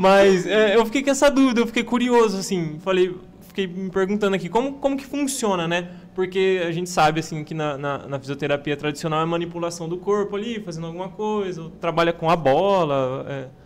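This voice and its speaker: With a high pitch, this man gets through his words at a fairly quick pace. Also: lively intonation. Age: 20s. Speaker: podcast co-host. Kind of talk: podcast interview. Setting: studio.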